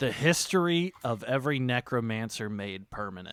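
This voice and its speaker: On a very clean recording with a silent background, a man does a put-on character voice at medium pitch and a moderate pace. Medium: actual play. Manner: hesitant, halting.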